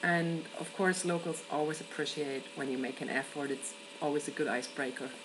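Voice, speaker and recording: There is noticeable background noise behind this woman. She speaks with a German accent and ordinary pitch variation. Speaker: event worker and traveller. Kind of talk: personal video answer to a question.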